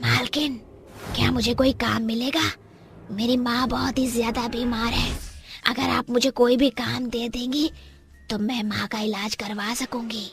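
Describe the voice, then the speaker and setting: A cartoonish character voice, fairly high in pitch, speaks at a moderate pace over clear background noise. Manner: menacing under a pretend meekness.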